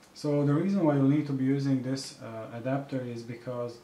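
Over light background noise and audible room echo, a man speaks in a monotone, flat intonation. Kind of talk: tutorial.

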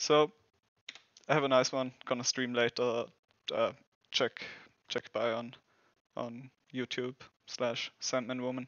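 A man with a German accent speaks slowly at a medium pitch with little pitch movement, a fairly bright tone, long, frequent pauses, and a dry, close sound with no echo.

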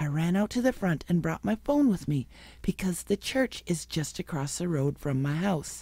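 A woman's dark, mellow, somewhat breathy voice, fairly low in pitch, at a moderate pace with very wide pitch swings, in dry sound with no echo over a quiet background. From US Midwest. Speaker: regular panelist; panelist. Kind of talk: casual chat and reading aloud. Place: studio. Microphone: studio mic.

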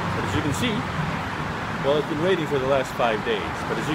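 Through loud background noise, a man speaks with ordinary pitch variation. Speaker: vlogger. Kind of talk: casual vlog chat. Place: street. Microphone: phone near.

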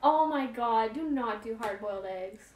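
At a moderate pace, a woman with a fairly high pitch and a slightly mellow tone speaks with lively intonation amid audible room echo.

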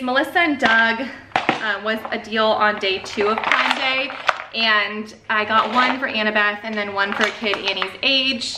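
A woman with an American accent and a fairly high pitch speaks over loud background noise. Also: ordinary pitch variation. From Chicago. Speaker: homeschooling mom YouTuber; mother vlogger. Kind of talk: casual haul video monologue. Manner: chatty, fast, many fillers. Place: home room. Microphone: camera far.

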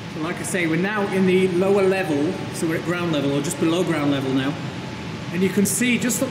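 A man speaks over noticeable background noise. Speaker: explorer vlogger. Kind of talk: casual vlog chat. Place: hall. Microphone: phone near.

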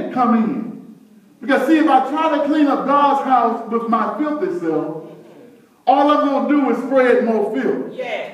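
A man's extremely high voice with lively intonation at a fairly slow pace, in a room with audible echo. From US. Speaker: preacher. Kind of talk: sermon. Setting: church. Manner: animated; call-and-response. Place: church. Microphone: camera far.

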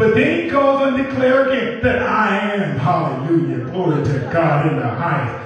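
A man speaks with a high pitch and very wide pitch swings. There is strong room echo and light background noise. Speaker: preacher, assistant pastor. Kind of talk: church sermon, preaching to congregation. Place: church.

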